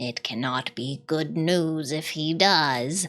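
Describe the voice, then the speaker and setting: A woman puts on a character voice at a very deep, low pitch. She speaks at a very slow pace. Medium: read story. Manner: low, grim.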